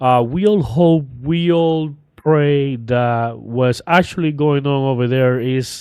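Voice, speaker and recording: This man speaks with a Cuban accent at a fairly slow pace. His pitch varies in an ordinary way. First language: Spanish. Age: 30s. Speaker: political commentary YouTuber. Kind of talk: casual vlog commentary. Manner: hesitant, with fillers.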